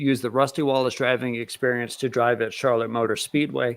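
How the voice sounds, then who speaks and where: Here a man uses a normal speaking voice at a medium pitch. His intonation is fairly even. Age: 30s. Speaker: podcast host. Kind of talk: interview.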